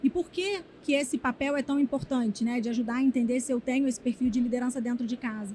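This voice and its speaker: A woman with a Rio de Janeiro accent speaks at a high pitch with ordinary pitch variation, and there is noticeable background noise. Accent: carioca (Rio). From Rio de Janeiro, Brazil. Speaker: HR executive. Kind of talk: interview. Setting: conference event.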